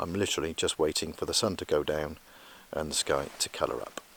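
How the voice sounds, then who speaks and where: Soft-spoken and fairly quick, a man talks with a British accent. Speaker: landscape photographer vlogger. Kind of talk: outdoor vlog with technical explanation. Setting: outdoors on a hill. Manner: quiet, soft-spoken; hesitant, many fillers.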